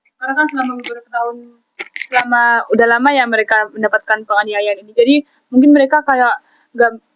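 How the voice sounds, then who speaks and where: A woman talks very fast at a high pitch, her intonation fairly even. Her loudness swings widely from moment to moment. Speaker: law student. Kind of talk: casual discussion.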